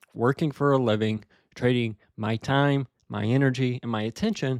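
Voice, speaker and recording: A man with a plain, everyday voice and fairly even intonation, in a very clean recording with a silent background and a dry, close sound with no echo. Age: 20s. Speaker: Toastmasters club member. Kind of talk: practice speech. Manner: conversational, some filler words.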